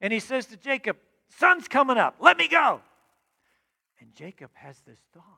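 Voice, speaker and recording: A man's raised, projected voice at an extremely high pitch has a bright, sharp, animated tone and lively intonation, with big swings in loudness, a moderate pace and long, frequent pauses, all in a dry, close sound with no echo. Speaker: preacher. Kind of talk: sermon with dramatic storytelling of Jacob's night wrestling. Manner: animated, vivid storyteller; urgent, exhortative.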